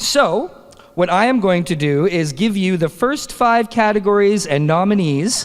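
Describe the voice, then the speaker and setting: With a Canadian accent, a man speaks at a moderate pace with lively intonation. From Canada. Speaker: awards presenter. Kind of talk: awards ceremony presenting. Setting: stage with audience at comic convention.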